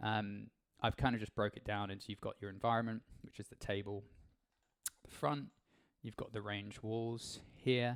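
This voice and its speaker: In a dry, close sound with no echo, a man speaks at a fairly low pitch with fairly even intonation, big swings in loudness and long, frequent pauses. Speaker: game world creator. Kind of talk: tutorial. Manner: fast; casual with many fillers.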